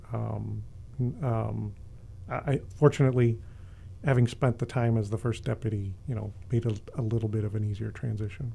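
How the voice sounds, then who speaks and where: A man with an American accent speaks at a moderate pace with long, frequent pauses. His voice is fairly low, dark, mellow and somewhat breathy. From Chicago, South Side. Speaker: university police chief. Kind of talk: interview. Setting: studio.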